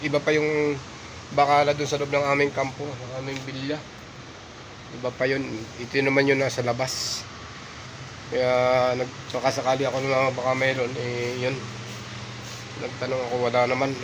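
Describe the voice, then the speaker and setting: Over noticeable background noise and audible room echo, a man with a medium pitch speaks at a moderate pace in a monotone, flat intonation, leaving long, frequent pauses. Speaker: vlogger, overseas worker. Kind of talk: casual vlog narration.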